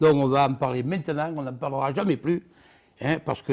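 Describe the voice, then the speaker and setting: Fairly quick and fairly high-pitched, a man with a plain, everyday voice keeps his intonation fairly even. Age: 60s. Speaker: former bull herdsman, bull-racing figure. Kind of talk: TV interview, personal anecdote. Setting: TV studio.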